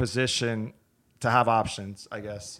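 On a very clean recording with a silent background, a man in a New York accent speaks at a fairly slow pace. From Brooklyn, New York (Brighton Beach). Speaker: audio equipment business owner. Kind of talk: casual interview.

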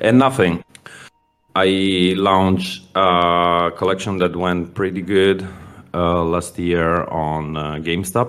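A very deep, low male voice with fairly even intonation. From Italy, Milan. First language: Italian. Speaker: indie game founder. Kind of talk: interview. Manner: halting.

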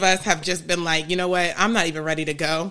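A woman is speaking. Her tone is bright and sharp. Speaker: marriage and family therapist hosting advice podcast. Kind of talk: live Q&A advice session. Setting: live stream on Instagram. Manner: fast.

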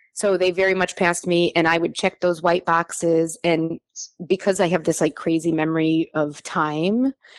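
A woman with an American accent speaks at a moderate pace in a fairly low pitch, her intonation monotone and flat. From US Midwest (Naperville, Illinois suburb of Chicago). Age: 40s. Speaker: adoptee sharing her story. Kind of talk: interview testimony.

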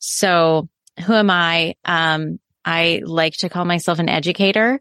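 Pitched fairly low, a woman speaks with ordinary pitch variation in a plain, everyday voice, on a very clean recording with a silent background. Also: dry, close sound with no echo. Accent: American. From US Midwest. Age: 30s. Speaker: educator and parenting coach. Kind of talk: casual interview chat.

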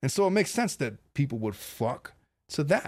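This man speaks at a fairly quick pace in a somewhat breathy voice, his pitch swinging very widely. The recording is very clean, with a silent background. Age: 40s. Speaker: family law attorney, podcast host. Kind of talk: solo commentary reacting to video clips.

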